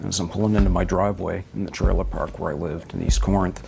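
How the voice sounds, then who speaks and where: Noticeable background noise sits behind a man's voice. His pitch is very deep and low, and his intonation is lively. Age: 50s. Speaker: hospital worker, UFO witness. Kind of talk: interview testimony.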